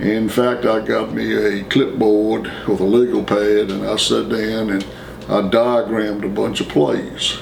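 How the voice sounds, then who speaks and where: A fairly low-pitched man with an American accent speaks at a fairly slow pace with ordinary pitch variation. Noticeable background noise and audible room echo fill the recording. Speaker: former student interviewee. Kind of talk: oral history interview.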